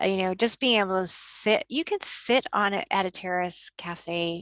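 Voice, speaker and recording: Using a normal speaking voice, a woman with a Canadian accent speaks at a medium pitch and a fairly slow pace, with a dry, close sound and no echo. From Canada. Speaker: tour operator. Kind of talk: interview answer.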